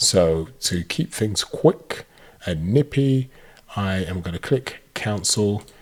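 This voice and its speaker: A man with a British accent speaks in a somewhat breathy voice with lively intonation. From Britain. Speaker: tech YouTuber reviewing AI tools. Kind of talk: software tutorial.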